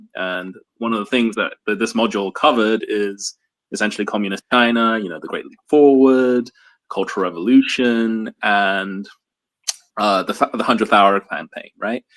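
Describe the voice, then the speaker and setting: With an American accent, this voice moves at a moderate pace with fairly even intonation and big swings in loudness, in a dry, close sound with no echo. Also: man, medium pitch for a man. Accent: American-sounding. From England, South London. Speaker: book publisher marketing staff. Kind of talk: live book discussion. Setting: livestream.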